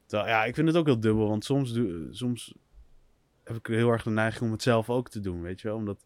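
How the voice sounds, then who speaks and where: An unremarkable speaking voice, a man at medium pitch with ordinary pitch variation talks at a fairly quick pace on a very clean recording with a silent background. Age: 20s. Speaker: podcast co-host. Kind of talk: casual chat. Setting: outdoors.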